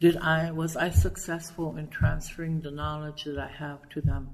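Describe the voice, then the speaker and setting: With an American accent, a woman talks at a moderate pace in a fairly low pitch. Audible room echo surrounds her voice. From Nebraska. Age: 60s. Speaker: educator and poet. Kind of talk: interview. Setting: at a conference.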